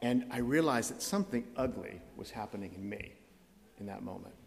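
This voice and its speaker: Moderately paced, a man talks with an American accent. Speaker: visiting preacher. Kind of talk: sermon. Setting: church.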